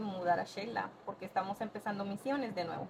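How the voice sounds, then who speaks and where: A woman speaks over noticeable background noise. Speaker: podcast guest. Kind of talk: casual interview storytelling.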